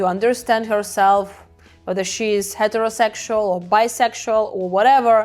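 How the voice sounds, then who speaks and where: Music plays behind a woman with a fairly high pitch. Her intonation is fairly even. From Ukraine. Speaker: hypnotherapist. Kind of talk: casual talk to camera.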